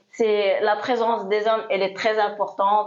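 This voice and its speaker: Over noticeable background noise, a woman speaks at a moderate pace in a medium pitch with monotone, flat intonation. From Morocco. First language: Moroccan Arabic (Darija) (speaking French). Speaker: DJ. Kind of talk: interview. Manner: hesitant.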